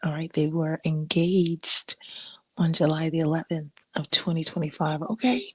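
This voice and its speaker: A woman speaks at a moderate pace, somewhat breathy, at a fairly low pitch. Her intonation is fairly even, and the sound is dry and close with no echo. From Africa. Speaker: podcast host. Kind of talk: casual chat. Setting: live stream. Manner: casual, halting.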